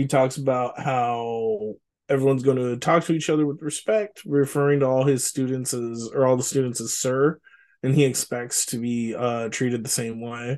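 A man talks at a moderate pace with an American accent. His pitch sits in the medium range, and his intonation stays fairly even. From Richmond, California. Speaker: podcast co-host. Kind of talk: casual chat.

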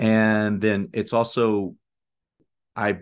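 The background is quiet as a man talks. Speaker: professor and author. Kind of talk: casual interview. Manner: many asides and filler words.

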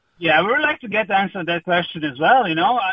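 Using lively intonation at a fast pace, a man with a Croatian accent and high pitch comes across in a dry, close sound with no echo.

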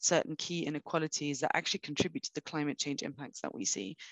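This woman speaks in a London accent with a very deep, low pitch and ordinary pitch variation. The sound is dry and close, with no echo. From London, England. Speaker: sustainability finance expert. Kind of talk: interview.

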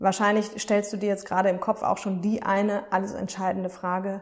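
A woman talks with an unremarkable speaking voice. Her pace is moderate and her intonation fairly even. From Germany, Aachen. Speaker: self-care podcast host and coach. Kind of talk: casual monologue.

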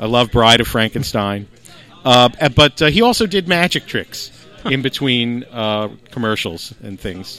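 The speaker has an American accent and lively intonation at a fairly slow pace. Music plays in the background. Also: man. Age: 50s. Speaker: comedian and magician. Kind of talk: casual chat.

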